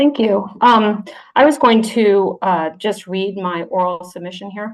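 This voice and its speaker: A woman in an American accent uses an ordinary speaking voice at medium pitch with ordinary pitch variation. She speaks fairly slowly, with big swings in loudness. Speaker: submitter, PhD student and ecologist. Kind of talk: reading a prepared oral submission. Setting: video call to a parliamentary committee.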